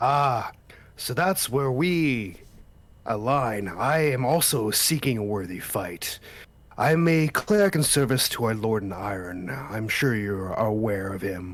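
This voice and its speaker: A man's put-on character voice at medium pitch and a fairly slow pace. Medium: actual play. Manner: hearty, friendly.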